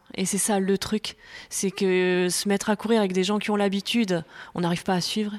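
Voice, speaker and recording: A woman with a medium pitch speaks at a fairly quick pace. Her intonation is monotone and flat, and her loudness stays very even. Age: 40s. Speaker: amateur jogger, mother of five. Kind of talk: casual interview. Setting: at home.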